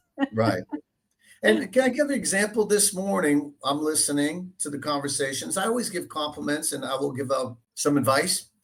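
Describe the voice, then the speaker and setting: A man with a Boston accent speaks at a moderate pace in a fairly high pitch, his voice swinging very widely in pitch and dipping into vocal fry. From Boston area, Dorchester, Massachusetts. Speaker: real estate agent. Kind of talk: interview. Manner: halting, many fillers.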